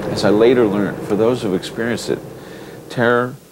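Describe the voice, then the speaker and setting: Background noise can clearly be heard. Over it, the man talks with an American accent. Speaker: documentary filmmaker. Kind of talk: documentary narration.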